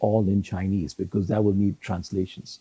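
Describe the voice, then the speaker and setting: A man speaks in a dark, mellow tone that is somewhat breathy. The sound is dry and close, with no echo. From Hong Kong. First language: Cantonese. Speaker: retired judge. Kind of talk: interview. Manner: halting, repeats words.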